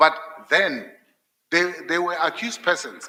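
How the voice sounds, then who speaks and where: With a non-native accent and a bright, sharp tone, a man speaks at a fairly high pitch and a moderate pace. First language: not English. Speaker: judge candidate. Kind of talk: job interview. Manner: halting, repeats words.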